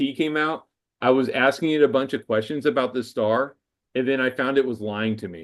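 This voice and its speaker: A man's fairly high voice, an unremarkable speaking voice, with ordinary pitch variation and a quiet background. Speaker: amateur astronomer presenter. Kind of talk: Q&A after presentation. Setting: video call.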